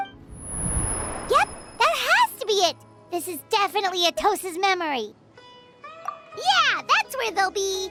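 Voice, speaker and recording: Loud music plays in the background as someone uses a put-on character voice at an extremely high pitch, going at a fairly slow pace with long, frequent pauses. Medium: video game. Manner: excited.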